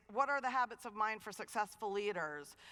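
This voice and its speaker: A woman talks in an animated tone that is bright and sharp. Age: 50s. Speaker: dean of students and keynote speaker. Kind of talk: keynote talk. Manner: fast.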